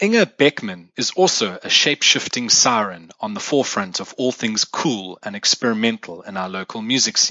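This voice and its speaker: A man speaks at a moderate pace with a fairly low pitch, ordinary pitch variation, hardly any pauses and big swings in loudness. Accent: South African. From South Africa. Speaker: music podcast host. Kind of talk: scripted solo podcast monologue. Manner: formal.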